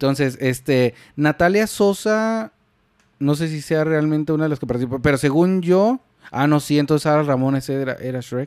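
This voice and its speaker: With a Mexican accent, a man speaks at a moderate pace and a fairly high pitch, with ordinary pitch variation. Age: 30s. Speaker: podcast co-host. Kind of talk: casual chat; scripted narration.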